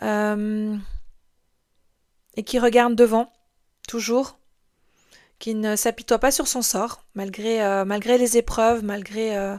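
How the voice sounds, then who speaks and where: Very slowly, a woman speaks at a fairly high pitch with a slight Swiss French accent and monotone, flat intonation. Long, frequent pauses fill the very clean recording, its background silent. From Switzerland (moved from France at six). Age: 40s. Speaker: podcast host, life coach. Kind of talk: podcast monologue. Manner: hesitant, many fillers.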